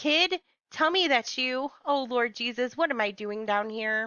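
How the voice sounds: Woman in a put-on character voice, high-pitched and shaky, with lively intonation at a moderate pace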